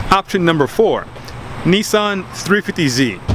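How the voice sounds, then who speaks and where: A man's animated voice with lively intonation over noticeable background noise. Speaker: car enthusiast vlogger. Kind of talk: casual video talk. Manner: fast.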